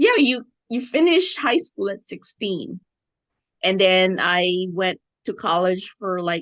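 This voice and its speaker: Very slow speech with a Filipino accent and ordinary pitch variation, dry and close with no echo. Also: woman. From Philippines. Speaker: podcast guest. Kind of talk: casual chat.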